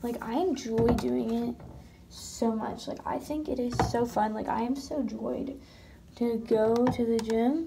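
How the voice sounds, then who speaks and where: Noticeable background noise accompanies the clip. The woman speaking uses ordinary pitch variation. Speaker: vlogger. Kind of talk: casual vlog chat. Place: bathroom. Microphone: phone near.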